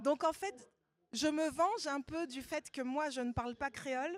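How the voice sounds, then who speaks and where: Speaking in a Parisian accent, the voice moves at a fairly slow pace with ordinary pitch variation. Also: woman. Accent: Parisian suburban French. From Paris suburbs, France. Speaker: novelist. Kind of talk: literary panel talk.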